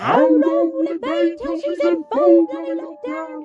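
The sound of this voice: This is a cartoonish character voice pitched low. It moves at a fairly slow pace.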